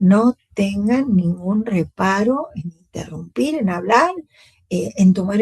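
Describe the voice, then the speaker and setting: A somewhat breathy woman with lively intonation, dry and close with no echo. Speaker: university lecturer. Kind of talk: lecture.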